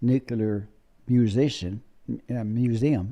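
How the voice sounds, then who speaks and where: On a very clean recording with a silent background, a man speaks in a dark, mellow tone at a medium pitch with ordinary pitch variation. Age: 90s. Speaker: war veteran. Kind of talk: interview storytelling.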